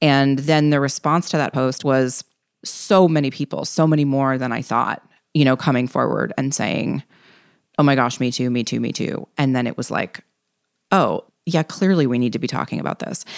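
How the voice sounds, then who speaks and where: Ordinary pitch variation at a moderate pace. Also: woman. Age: 40s. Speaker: writer and illustrator, greeting card entrepreneur. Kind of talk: interview.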